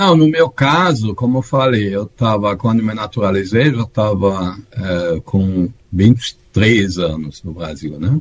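A somewhat breathy voice with a German accent and lively intonation, at a very slow pace with hardly any pauses. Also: man, fairly low pitch for a man. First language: German (speaking Portuguese). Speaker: tax auditor. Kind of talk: interview. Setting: video call. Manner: halting.

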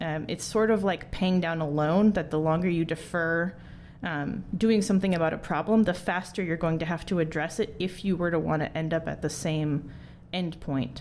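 A woman talks at a moderate pace in an ordinary speaking voice, fairly low in pitch, with fairly even intonation. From US Midwest (Wisconsin). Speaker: engineer and startup co-founder. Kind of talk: interview.

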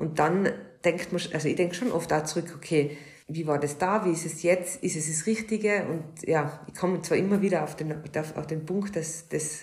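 Fairly even intonation with audible room echo. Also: woman. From Austria. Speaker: podcast co-host, hairdresser. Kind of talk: casual chat.

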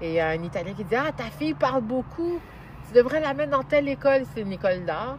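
The voice is somewhat breathy, with very wide pitch swings. It moves at a fairly quick pace. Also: woman, fairly high pitch for a woman. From Montreal, Quebec. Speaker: journalist and TV host. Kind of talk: interview. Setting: outdoors in a park.

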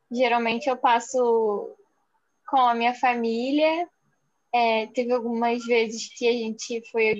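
This is a plain, everyday voice. The intonation stays fairly even. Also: woman. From Rio de Janeiro, Brazil. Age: 20s. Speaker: podcast co-host. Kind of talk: casual chat.

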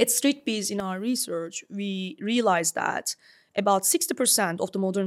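A woman with a Turkish accent, fairly high-pitched, with lively intonation at a moderate pace, in a dry, close sound with no echo on a very clean recording with a silent background. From Istanbul, Turkey. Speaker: startup founder and CEO. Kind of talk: interview conversation.

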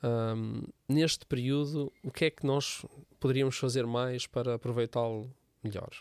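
Speaking fairly slowly with fairly even intonation, a man with a medium pitch talks in a European Portuguese accent. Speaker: church podcast host. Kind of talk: casual chat.

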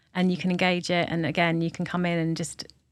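Speaking with a London accent, a woman has a fairly low voice and a moderate pace. Her intonation is monotone and flat. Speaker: arts director. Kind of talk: interview.

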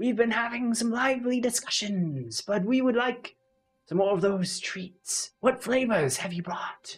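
A put-on character voice at a fairly high pitch goes at a moderate pace over faint music in the background. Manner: polite, wistful.

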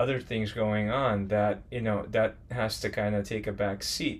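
A man has an ordinary speaking voice at a fairly low pitch. He speaks at a moderate pace. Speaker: podcast co-host and artist. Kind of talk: casual conversation.

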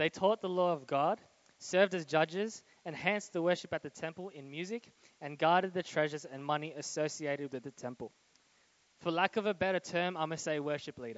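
The man speaks at a fairly quick pace with a fairly high pitch. His loudness swings widely while his pitch varies in an ordinary way. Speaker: guest preacher. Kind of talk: sermon. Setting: church with live audience and live stream. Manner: fast; animated.

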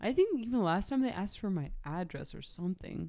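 A woman talks at a moderate pace. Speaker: podcast co-host. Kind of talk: casual chat. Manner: playful, jokey.

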